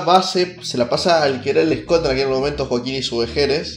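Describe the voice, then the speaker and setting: There is noticeable background noise as a man speaks. He keeps a moderate pace with lively intonation. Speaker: podcaster. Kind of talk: casual monologue. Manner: animated; halting.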